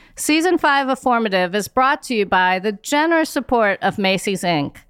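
With lively intonation and a fairly high pitch, a woman with an ordinary speaking voice talks at a moderate pace in a dry, close sound with no echo. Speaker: podcast host and nonprofit CEO. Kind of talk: interview.

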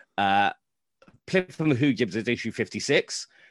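A medium-pitched man with a British accent, in a dry, close sound with no echo. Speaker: Star Wars comics historian. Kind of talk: casual interview.

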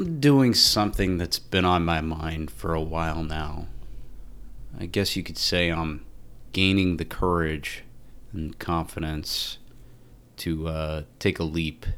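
With long, frequent pauses, a man speaks at a very slow pace in a very deep, low voice with ordinary pitch variation. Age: 30s. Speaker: financial planner and podcast host. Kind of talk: podcast trailer monologue.

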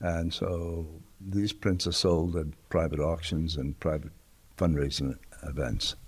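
A man with an American accent speaks fairly slowly in a very deep, low pitch, somewhat breathy and with fairly even intonation. The recording is very clean, with a silent background. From New York City, South Bronx. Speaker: photographer. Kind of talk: interview. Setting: art museum.

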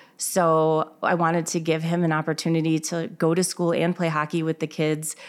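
Recorded very cleanly against a silent background, a woman with an American accent and an unremarkable speaking voice talks at a fairly quick pace in a fairly low pitch. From Illinois. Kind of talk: interview. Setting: in her store.

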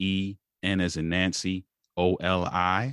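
A man with a very deep, low pitch and an American accent speaks in a dry, close sound with no echo over a quiet background. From Baltimore, Maryland, US. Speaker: marriage coach and speaker. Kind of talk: casual interview.

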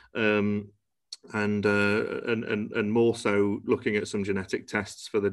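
At a moderate pace, a man with a Cheshire accent speaks in a fairly low pitch. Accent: northern English (Cheshire). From northern England, Cheshire (Congleton). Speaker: genetics testing company founder. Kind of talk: interview. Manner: hesitant, many fillers.

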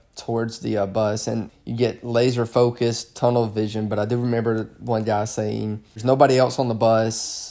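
In a Southern US accent, a man talks at a medium pitch with a dark, mellow tone. His intonation is monotone and flat. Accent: Southern US drawl. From Alabama, US South. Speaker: police officer. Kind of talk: casual interview conversation.

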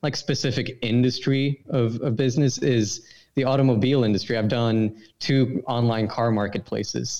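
A man with a Swedish accent, medium pitch, ordinary pitch variation and a moderate pace. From Sweden. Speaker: brand consultant. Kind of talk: casual interview chat.

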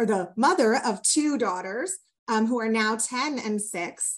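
Against a quiet background, a woman with an ordinary speaking voice and a fairly high pitch talks at a fairly slow pace. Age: 40s. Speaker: diversity and inclusion strategist, lawyer. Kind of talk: interview conversation.

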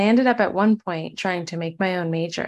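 Against a quiet background, a woman with an unremarkable speaking voice of medium pitch talks at a moderate pace. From Michigan. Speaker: medical student. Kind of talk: interview conversation.

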